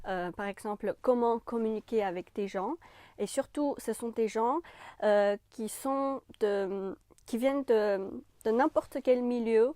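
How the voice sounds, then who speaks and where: A woman's fairly high, dark, mellow voice in a Chinese accent, very slow with ordinary pitch variation, on a very clean recording with a silent background and a dry, close sound with no echo. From China. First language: Chinese (speaking French). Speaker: French language YouTuber. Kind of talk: channel introduction to camera. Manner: casual with frequent hesitations.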